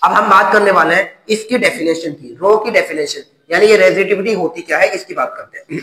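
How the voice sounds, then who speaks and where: In a raised, projected voice with a high pitch, a man speaks at a moderate pace with hardly any pauses, ordinary pitch variation, and big swings in loudness. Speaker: teacher. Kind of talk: lecture.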